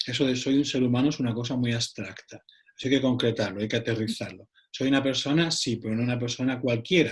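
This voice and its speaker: Very fast and somewhat breathy, a man speaks with an Andalusian accent and fairly even intonation. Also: medium pitch for a man. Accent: Andalusian (Cádiz). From Cádiz, southern Spain. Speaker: psychologist. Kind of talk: round-table discussion.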